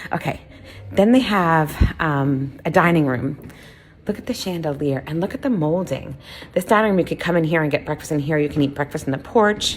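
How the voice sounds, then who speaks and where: A woman with a very deep, low voice talks at a fairly quick pace in an animated tone with lively intonation. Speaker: vlogger. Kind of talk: casual walking tour vlog. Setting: indoors and outdoors at a bed and breakfast. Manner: loud; chatty, animated.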